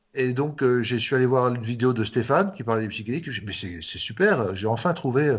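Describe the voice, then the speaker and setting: Words tumble out of this man very fast. He speaks at a medium pitch. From France. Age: 60s. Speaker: doctor and author. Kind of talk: interview. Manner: halting, with frequent fillers and repetitions.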